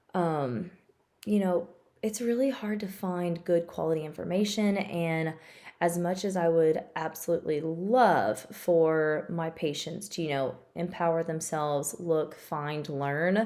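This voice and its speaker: Dark, mellow tone at a fairly slow pace, with ordinary pitch variation and a Tennessee accent. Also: woman, fairly low pitch for a woman. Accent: Tennessee Southern. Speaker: physical therapist. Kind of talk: casual informational talk to camera. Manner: chatty.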